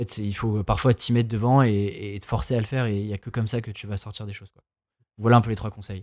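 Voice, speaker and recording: Delivered at a very fast pace with fairly even intonation, the voice makes big swings in loudness on a very clean recording with a silent background. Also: man, fairly low pitch for a man. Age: 20s. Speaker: freelancer and podcaster. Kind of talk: casual chat.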